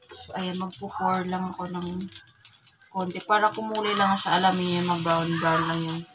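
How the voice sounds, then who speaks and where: Over noticeable background noise and audible room echo, a woman talks at a moderate pace in a medium pitch with monotone, flat intonation. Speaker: vlogger. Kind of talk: casual vlog cooking chat. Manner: soft-spoken, lowered voice.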